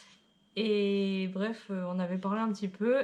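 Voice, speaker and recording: This is a woman speaking. Her pace is very slow. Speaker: travel vlogger. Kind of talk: casual chat.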